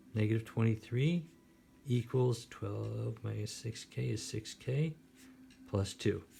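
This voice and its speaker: A man speaks at a medium pitch in a dark, mellow tone that is somewhat breathy. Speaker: math teacher. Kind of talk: tutorial. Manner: fast.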